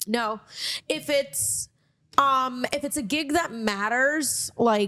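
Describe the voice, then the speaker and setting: Speaking very slowly in a Miami accent, a woman has a high pitch and a bright, sharp tone. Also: ordinary pitch variation. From Miami, Florida. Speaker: comedian and podcast host. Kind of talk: casual chat.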